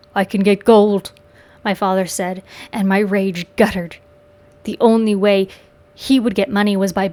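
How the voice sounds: What you hear is a natural reading voice. That is the whole clip.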